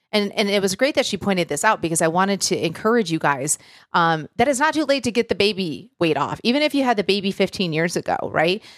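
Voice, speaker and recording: A woman's medium-pitched, warm voice with very wide pitch swings, a very fast pace, very even loudness and hardly any pauses, in a very clean, dry, close recording with no echo and a silent background. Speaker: podcast host and coach. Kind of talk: solo podcast episode, motivational talk. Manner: warm, encouraging, conversational.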